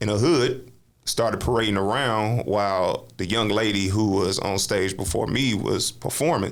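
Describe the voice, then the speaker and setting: A man with an American accent speaks at a fairly low pitch and a moderate pace, with ordinary pitch variation, very even loudness and audible room echo. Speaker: spoken word poet and author; navy veteran. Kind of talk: casual interview chat. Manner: loud, brash delivery; animated storytelling.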